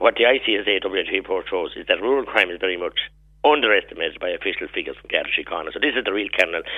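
Talking at a very fast pace, a man has a Tipperary accent. His loudness swings widely. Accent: Irish, Tipperary. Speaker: politician. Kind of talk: radio interview. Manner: animated.

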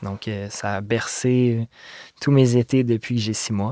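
In a Quebec accent, a man speaks at a medium pitch in a monotone, flat manner, with a dry, close sound with no echo and a very clean recording with a silent background. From Quebec, Montreal. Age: 20s. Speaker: visual artist. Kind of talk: interview. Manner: halting.

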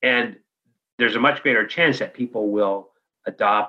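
This man speaks at a moderate pace in a fairly low pitch, his tone bright and sharp, with ordinary pitch variation. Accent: Californian. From US West Coast, San Francisco Bay Area. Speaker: organizational development consultant. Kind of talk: interview conversation.

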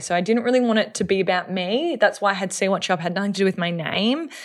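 A woman speaks with an Australian accent at a fairly quick pace, with fairly even intonation. The recording is very clean, with a silent background. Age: 30s. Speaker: social media influencer. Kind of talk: casual chat.

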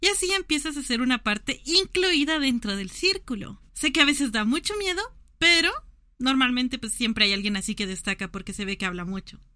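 At a high pitch, a woman with a bright, sharp tone projects her raised voice, moving at a fairly quick pace with very wide pitch swings. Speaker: podcast co-host. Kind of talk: casual chat.

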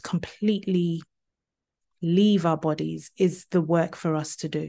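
The speaker has a British accent and a monotone, flat intonation. The pace is fairly slow, against a quiet background. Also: woman. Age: 40s. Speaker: trauma speaker and author. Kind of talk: interview.

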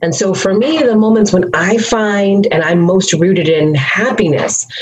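A woman speaks in an ordinary speaking voice at a fairly slow pace, her intonation lively. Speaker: activist and consultant. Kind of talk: casual interview conversation.

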